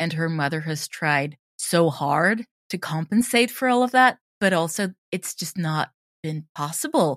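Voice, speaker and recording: A woman's fairly low voice with a Swedish accent, fairly slow pace and lively intonation, dry and close with no echo, on a very clean recording against a silent background. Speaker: audio drama creator and drama teacher. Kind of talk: interview.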